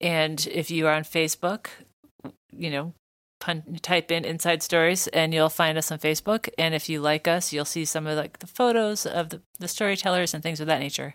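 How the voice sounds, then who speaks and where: On a very clean recording with a silent background, a woman with a plain, everyday voice speaks at a moderate pace. Her pitch is fairly low and her intonation fairly even. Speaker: podcast host. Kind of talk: casual interview conversation.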